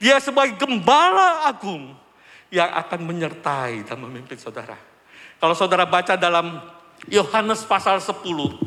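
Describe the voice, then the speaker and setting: At a moderate pace, a man uses a raised, projected voice at a high pitch, with very wide pitch swings and big swings in loudness. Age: 60s. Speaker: church elder giving testimony. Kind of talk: testimony. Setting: church.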